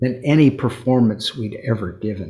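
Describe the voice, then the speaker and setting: Somewhat breathy, a man of medium pitch speaks with an American accent and ordinary pitch variation. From US Pacific Northwest, Seattle. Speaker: musician, string quartet founder. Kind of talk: interview. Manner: halting.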